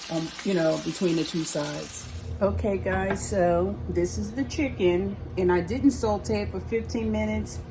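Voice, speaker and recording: At a moderate pace, a woman speaks amid noticeable background noise and audible room echo. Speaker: cooking channel host. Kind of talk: cooking tutorial. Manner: casual, hesitant with fillers and restarts.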